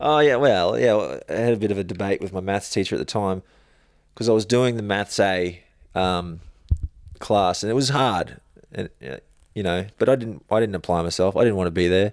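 A man with an Australian accent speaks at a moderate pace in a fairly low voice. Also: ordinary pitch variation. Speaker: stuntman. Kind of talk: casual chat.

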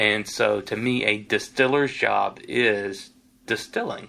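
This man has a Tennessee accent. His tone is bright and sharp. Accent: US Southern (Tennessee). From Tennessee (Lynchburg). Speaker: whiskey distiller. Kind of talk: interview. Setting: distillery office.

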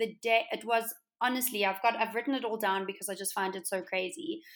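The speaker has a South African accent. Pitch variation is ordinary. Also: woman. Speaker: interior designer, entrepreneur. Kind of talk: interview.

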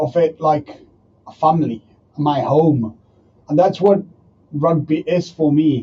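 A man with a Spanish accent and a fairly high pitch, at a very slow pace. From Argentina. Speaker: professional rugby player and entrepreneur. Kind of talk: interview. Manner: halting.

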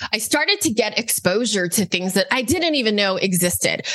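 A woman speaks at a fairly quick pace with lively intonation. Noticeable noise runs in the background. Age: 40s. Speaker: online business coach and founder. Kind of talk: interview.

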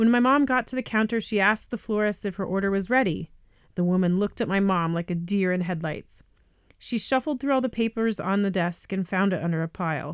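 Speaking very fast with a General American accent, a woman at medium pitch shows ordinary pitch variation in a very clean recording with a silent background. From Colorado, US. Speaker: podcast host. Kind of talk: scripted narration.

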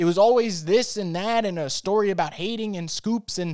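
A man speaks at a moderate pace with a high pitch and ordinary pitch variation. The sound is dry and close with no echo, on a very clean recording over a silent background. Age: 20s. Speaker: sports podcast host. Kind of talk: solo monologue rant.

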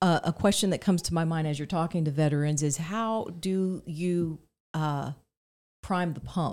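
A woman talks in a normal speaking voice at a moderate pace and fairly low pitch, on a very clean recording with a silent background. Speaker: podcast co-host. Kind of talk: interview conversation. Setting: studio.

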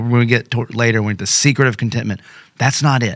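Here is a man with an ordinary speaking voice at a medium pitch. He moves at a fairly quick pace with ordinary pitch variation. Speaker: pastor. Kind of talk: casual chat.

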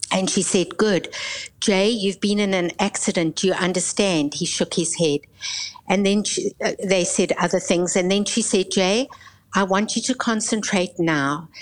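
Over noticeable background noise, a woman of medium pitch talks at a moderate pace with ordinary pitch variation and very even loudness. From South Africa. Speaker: pastor and Bible college leader. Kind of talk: testimony.

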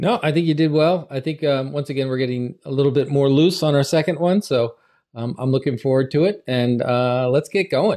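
The man's tone is dark and mellow, and his pitch is fairly high with ordinary variation. He moves at a moderate pace on a very clean recording with a silent background. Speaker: podcast host. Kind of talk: casual conversation podcast.

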